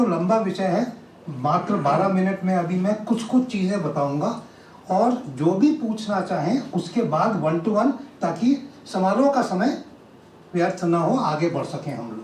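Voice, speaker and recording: A man's high-pitched voice with lively intonation, amid noticeable background noise and audible room echo. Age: 60s. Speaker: retired army officer and motivational speaker. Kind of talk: public talk.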